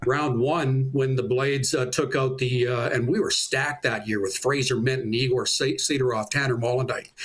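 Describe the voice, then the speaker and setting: At a moderate pace and with hardly any pauses, a man speaks in a somewhat breathy voice at a medium pitch with fairly even intonation. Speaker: public address announcer for a junior hockey team. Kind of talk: interview answer, casual sports talk.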